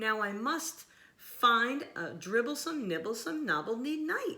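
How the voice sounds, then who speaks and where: A put-on character voice, female-sounding and high-pitched, at a fairly slow pace. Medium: read story. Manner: storybook rhyming.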